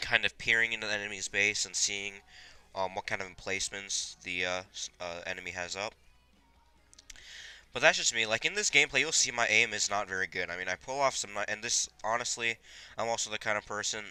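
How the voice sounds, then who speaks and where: With music in the background, a man of fairly low pitch talks at a fairly quick pace, using ordinary pitch variation and long, frequent pauses. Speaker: gaming video creator. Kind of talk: gameplay commentary. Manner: chewing gum while talking.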